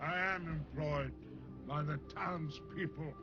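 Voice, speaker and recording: Loud music plays behind a man doing a put-on character voice. He speaks at a fairly slow pace. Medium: short film. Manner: grave, slow.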